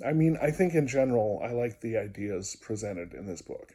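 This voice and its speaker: A man's medium-pitched, somewhat breathy voice with a dark, mellow tone, ordinary pitch variation and a moderate pace. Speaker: video diarist and music therapist. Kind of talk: personal video diary. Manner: hesitant, many fillers.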